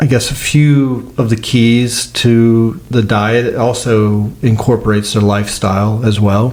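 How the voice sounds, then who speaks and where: A man's medium-pitched voice with an American accent, fairly slow and almost without pauses, at very even loudness, amid audible room echo and noticeable background noise. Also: fairly even intonation. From United States. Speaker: olive oil producer. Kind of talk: podcast interview. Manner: hesitant, many fillers.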